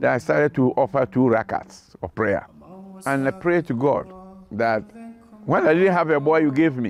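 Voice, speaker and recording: A man speaks at a moderate pace with a fairly high pitch. His intonation is lively, and music plays in the background. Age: 80s+. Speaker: retired educator. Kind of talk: testimony.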